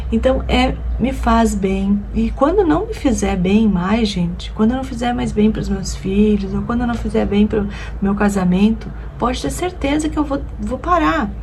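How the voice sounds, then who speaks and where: Noticeable background noise and audible room echo mark this recording. A woman speaks at a fairly slow pace. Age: 50s. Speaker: lifestyle vlogger. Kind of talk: casual vlog talk to camera.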